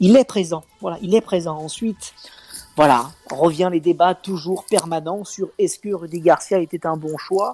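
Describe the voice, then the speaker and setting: High pitch from a man, with ordinary variation in that pitch. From Lyon, France. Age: 30s. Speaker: reality TV contestant and football fan. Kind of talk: casual football talk.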